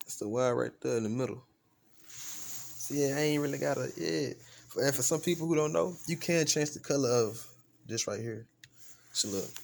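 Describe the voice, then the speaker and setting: On a very clean recording with a silent background, the speaker talks at a moderate pace with lively intonation and long, frequent pauses. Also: man. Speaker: gaming YouTuber. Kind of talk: unboxing review vlog. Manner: quiet, not loud; casual slangy. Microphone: new USB microphone being tested.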